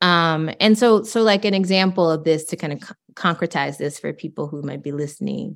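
A woman with an American accent and an unremarkable speaking voice talks at a fairly quick pace with hardly any pauses, at a fairly low pitch with ordinary pitch variation. Her loudness swings widely, and the recording is very clean with a silent background. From rural East Texas. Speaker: professor. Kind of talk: interview.

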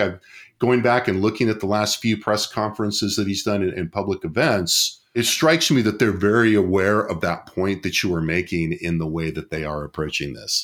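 At a moderate pace, a man with a normal speaking voice and fairly low pitch talks on a very clean recording with a silent background. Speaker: political scientist and podcast host. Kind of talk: casual analytical discussion. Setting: studio.

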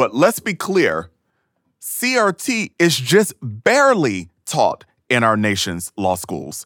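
Over a very clean recording with a silent background, a man speaks in a bright, sharp tone with vocal fry. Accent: American. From US South. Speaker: professor and education scholar. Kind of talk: casual interview conversation.

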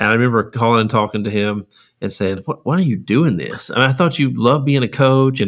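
Talking at a very fast pace, a man with a Texan accent uses a medium pitch and ordinary pitch variation. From East Texas (Lufkin). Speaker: school superintendent. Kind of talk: interview.

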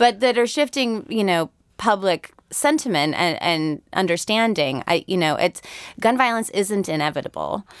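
A woman with an American accent speaks at a medium pitch with very wide pitch swings. The sound is dry and close, with no echo. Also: moderate pace, very clean recording, silent background. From Connecticut, US Northeast. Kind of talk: podcast interview discussion.

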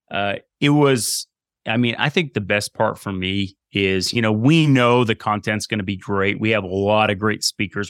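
A man with an American accent speaks in a plain, everyday voice at a moderate pace, his fairly low pitch rising and falling in ordinary ways, in a dry, close recording with no echo. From Vermont, US. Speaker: strength and conditioning coach. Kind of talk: interview. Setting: video call.

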